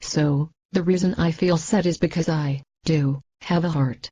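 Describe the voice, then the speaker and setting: A growling, put-on character voice at a moderate pace, with fairly even intonation and a dry, close sound with no echo. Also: woman, very deep, low pitch for a woman. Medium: comedy sketch.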